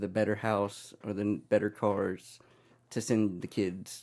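With an unremarkable speaking voice, a man talks fairly low in pitch and with fairly even intonation on a very clean recording with a silent background. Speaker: podcast guest. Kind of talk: casual interview.

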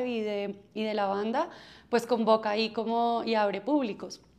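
A woman speaks in a fairly high pitch with a flat, monotone intonation. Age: 30s. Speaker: music festival marketing executive. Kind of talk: interview. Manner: halting.

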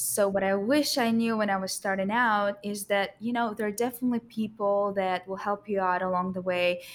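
A woman with a Russian accent, fairly even intonation and a moderate pace, on a very clean recording with a silent background. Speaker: structural engineer. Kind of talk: casual panel conversation.

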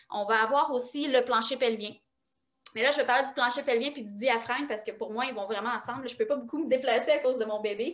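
In a Quebec accent, a woman talks at a very fast pace with a high pitch. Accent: Québécois French. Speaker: osteopath and kinesiologist. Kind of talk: interview.

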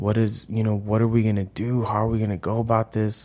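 Speaking at a moderate pace, this man has a normal speaking voice pitched in the medium range. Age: 30s. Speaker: podcast co-host, school staff. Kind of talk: casual chat.

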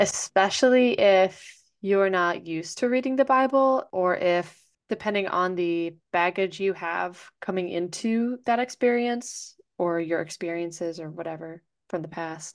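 At a fairly slow pace, a woman with an ordinary speaking voice talks at a medium pitch with ordinary pitch variation. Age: 20s. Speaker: podcast co-host. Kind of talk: casual chat.

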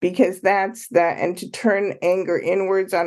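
Vocal fry colors the voice, which moves at a moderate pace against a quiet background. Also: woman. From Canada, Ottawa and Toronto. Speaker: author and consultant. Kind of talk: interview.

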